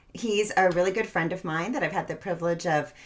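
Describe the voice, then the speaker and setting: Against noticeable background noise, a woman's fairly low voice moves with ordinary pitch variation. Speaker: endurance coach, podcast host. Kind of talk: podcast interview host.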